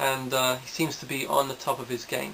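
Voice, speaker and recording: At a moderate pace and medium pitch, a man speaks over noticeable background noise. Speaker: boxing video blogger. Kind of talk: casual monologue. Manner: halting, many fillers.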